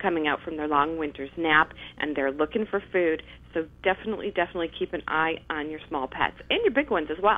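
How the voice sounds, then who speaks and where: An unremarkable speaking voice: a woman with fairly low pitch, ordinary pitch variation and a fairly quick pace. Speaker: remote guest. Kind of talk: interview answer. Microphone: phone line.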